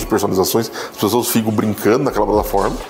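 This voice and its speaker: Noticeable noise is present in the background. Over it, a man talks. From Brazil, Campinas. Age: 30s. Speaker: entrepreneur. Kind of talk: talk / testimony.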